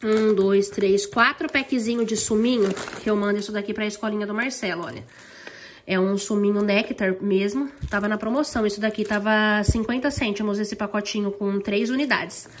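A woman at a fairly high pitch, moderate in pace, with fairly even intonation and light background noise. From Brazil. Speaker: vlogger. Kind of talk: casual vlog chat. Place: home room. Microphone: phone near.

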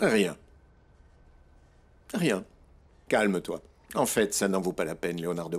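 A man puts on a character voice with low pitch and a slightly husky edge. He goes at a slow pace with lively intonation.

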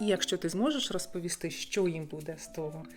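Music plays in the background as a woman talks at medium pitch. Her intonation is lively and her pace moderate. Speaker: public speaking and voice coach, radio and TV presenter. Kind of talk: casual talk to camera, coaching advice.

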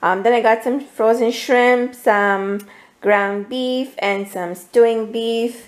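Slow and fairly even in intonation, a woman speaks at a fairly high pitch.

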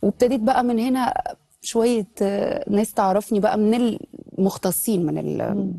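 A woman speaks in a dark, mellow tone with ordinary pitch variation. The recording is dry, with no echo. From Egypt. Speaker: singer; talk show guest. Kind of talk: casual chat. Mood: warm, reflective, smiling. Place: studio.

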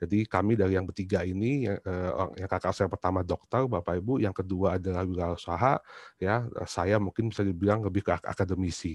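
With a very deep, low pitch and fairly even intonation, a man talks at a fairly quick pace over a quiet background. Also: dry sound with no echo. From Indonesia, Surabaya (East Java); East Java, Indonesia. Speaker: university lecturer; presenter. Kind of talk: book reflection talk; talk presentation, reflective storytelling. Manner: halting, many fillers. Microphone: video call.

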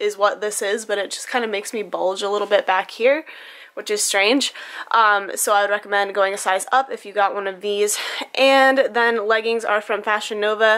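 A woman talks at a moderate pace with a bright, sharp tone and fairly even intonation. The background is quiet. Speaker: beauty vlogger. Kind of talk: casual vlog chat. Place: home room. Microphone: phone near.

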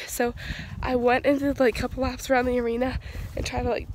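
A high-pitched woman's voice in a monotone, flat delivery, dry with no echo, amid noticeable background noise. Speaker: equestrian vlogger. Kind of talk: casual vlog. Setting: outdoors at barn. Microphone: phone near.

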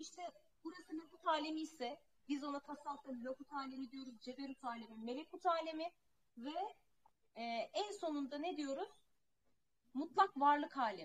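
Speaking at a moderate pace with long, frequent pauses, a woman uses a high pitch with ordinary pitch variation and big swings in loudness. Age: 30s. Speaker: spiritual teacher. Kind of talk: spiritual talk. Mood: calm, reflective. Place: home room. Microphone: earbuds.

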